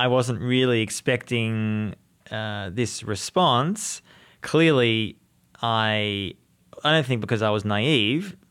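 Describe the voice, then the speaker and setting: Very slow speech in an Australian accent, with ordinary pitch variation. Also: man, medium pitch for a man. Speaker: journalist and author. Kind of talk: interview.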